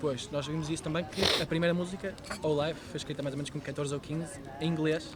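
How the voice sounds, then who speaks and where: Noticeable background noise sits under this recording. A man talks at a very fast pace, fairly high in pitch, with monotone, flat intonation. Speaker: podcast host. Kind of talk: interview questions.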